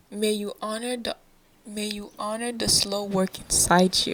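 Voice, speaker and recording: A woman speaks at a very slow pace in a medium pitch, her gentle, calm tone set in a monotone with flat intonation, over noticeable background noise. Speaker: podcast host. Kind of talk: reflective podcast monologue.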